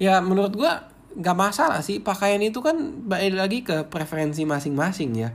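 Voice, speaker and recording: A man's high-pitched voice at a moderate pace, with very wide pitch swings and hardly any pauses. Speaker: podcast host and movie reviewer. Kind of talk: casual solo podcast sharing. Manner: casual, chatty, conversational.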